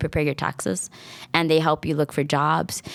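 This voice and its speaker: A woman with an American accent speaks in an animated tone at a very deep, low pitch. The recording is very clean with a silent background and a dry, close sound with no echo. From New York City (Washington Heights). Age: 30s. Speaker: school library media specialist. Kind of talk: casual interview. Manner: fast.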